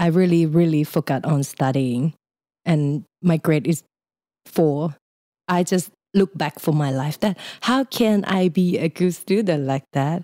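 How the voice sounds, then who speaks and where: In a very clean recording with a silent background and a dry, close sound with no echo, a woman with a Thai accent speaks fairly slowly at a fairly low pitch, in a dark, mellow tone with ordinary pitch variation. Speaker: creative freelancer. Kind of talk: interview. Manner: lighthearted, laughs often.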